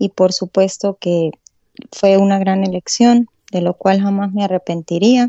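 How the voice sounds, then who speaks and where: Her voice sits at a medium pitch, and the woman keeps a fairly even intonation. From Venezuela, Táchira (San Cristóbal). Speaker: obstetrician-gynecologist. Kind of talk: interview conversation.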